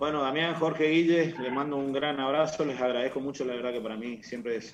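A man at a fairly quick pace with ordinary pitch variation, amid noticeable background noise and audible room echo. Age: 60s. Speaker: football coach. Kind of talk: radio interview.

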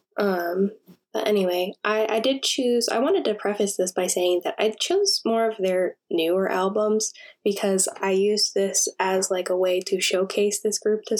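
A plain, everyday voice from a woman, medium pitch, ordinary pitch variation and moderate pace. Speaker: podcast co-host. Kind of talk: casual chat. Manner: reading facts from notes.

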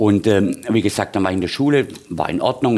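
Male speaker, lively in intonation, moderate in pace. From Swabia, Heilbronn area, Germany. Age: 50s. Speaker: bar owner and bartender. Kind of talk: casual interview.

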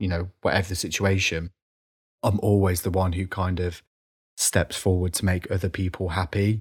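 A man with a very deep, low voice speaks in a somewhat breathy, monotone, flat way on a very clean recording with a silent background. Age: 30s. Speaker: podcaster. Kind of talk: casual interview chat. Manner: halting.

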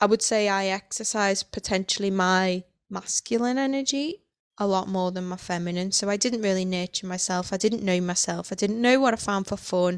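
A woman with a plain, everyday voice talks at a fairly quick pace and medium pitch, her intonation fairly even, in a dry, close sound with no echo on a very clean recording with a silent background. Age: 30s. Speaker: podcast host and coach. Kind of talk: casual monologue.

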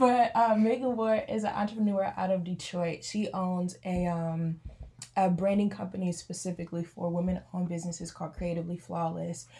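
This woman's voice is somewhat breathy, with a dark, mellow tone and medium pitch. She moves at a fairly quick pace with ordinary pitch variation. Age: 20s. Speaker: entrepreneur and college pastor. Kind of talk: casual chat.

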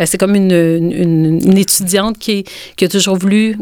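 Speaking in a Quebec accent, a woman of medium pitch keeps a moderate pace and fairly even intonation. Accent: Québécois French. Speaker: author and illustrator. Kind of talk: interview.

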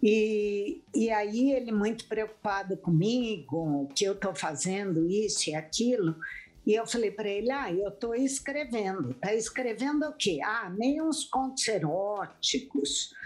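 In an ordinary speaking voice, a woman talks at a fairly slow pace with a fairly high pitch, lively intonation and hardly any pauses. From Brazil, interior of São Paulo state (Jundiaí). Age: 60s. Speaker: author. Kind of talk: interview.

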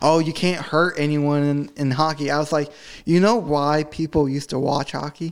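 In a very clean recording with a silent background, a man with a normal speaking voice and an American accent speaks at a moderate pace, fairly high in pitch and with fairly even intonation. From New Jersey, US. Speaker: podcast co-host. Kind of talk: casual chat. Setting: same room as co-host.

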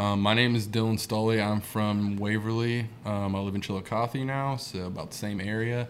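With an Appalachian accent, a man speaks at a moderate pace in a fairly low, monotone, flat voice. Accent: Southern Ohio, Appalachian. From Southern Ohio. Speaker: musician, songwriter. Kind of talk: casual chat.

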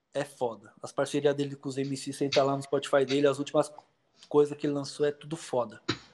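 Words come at a fairly quick pace. The intonation stays monotone and flat. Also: man, fairly high pitch for a man. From Poá, greater São Paulo, Brazil. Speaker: rapper, former hardcore musician. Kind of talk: casual chat.

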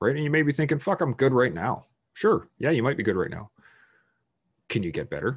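Speaking at a fairly quick pace with long, frequent pauses, a man uses a medium pitch with vocal fry. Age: 30s. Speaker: military veteran podcast host. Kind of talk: solo monologue. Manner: halting.

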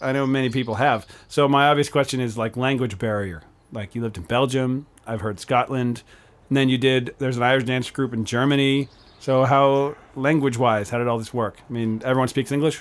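Talking at a fairly quick pace, a man uses a normal speaking voice of medium pitch and fairly even intonation. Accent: American. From Pennsylvania. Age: 30s. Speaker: podcast host and musician. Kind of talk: casual interview chat. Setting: home studio with guest on couch.

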